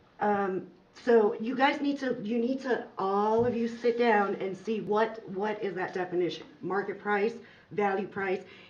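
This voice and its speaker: With audible room echo around her, a woman speaks at a fairly slow pace, her fairly high pitch showing ordinary variation. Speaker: farmer. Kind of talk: public comment at council meeting.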